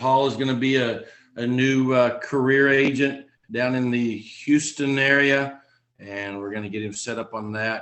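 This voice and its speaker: Here a man speaks with a Texan accent at medium pitch. His pace is fairly slow, with ordinary pitch variation. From Texas. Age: 40s. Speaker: insurance agent trainer. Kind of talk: online training session.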